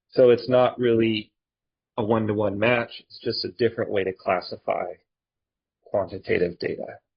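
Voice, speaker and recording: A man at a moderate pace, with long, frequent pauses and big swings in loudness. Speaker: statistics instructor. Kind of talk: lecture. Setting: recorded online lecture video. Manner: robotic when typing.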